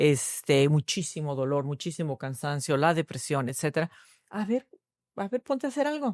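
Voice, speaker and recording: Here a woman speaks at a very deep, low pitch. Her intonation is lively. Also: moderate pace, dry, close sound with no echo. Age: 50s. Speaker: nutritionist. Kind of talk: podcast interview.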